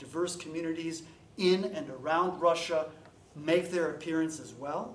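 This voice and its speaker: A man speaks in a high voice at a moderate pace, with fairly even intonation. The recording has audible room echo and noticeable background noise. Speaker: historian giving a talk. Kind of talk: academic lecture.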